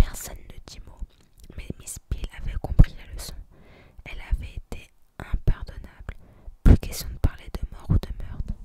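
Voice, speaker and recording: Someone whispers at a fairly slow pace, with long, frequent pauses and big swings in loudness. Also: woman. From France. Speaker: ASMR creator. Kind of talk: audiobook-style reading of a detective novel. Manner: hard whispers, ASMR.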